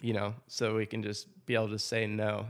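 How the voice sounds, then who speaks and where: Using monotone, flat intonation, a man with an American accent speaks at a moderate pace in a fairly low pitch with vocal fry. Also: very clean recording, silent background. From Washington State, US Pacific Northwest. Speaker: custom wood bat maker and farmer. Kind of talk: interview. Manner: casual, with fillers and repetitions.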